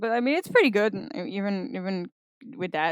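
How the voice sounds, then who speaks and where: A woman speaks with a non-native accent. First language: not English. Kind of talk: casual opinion rant. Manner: rambling, hesitant.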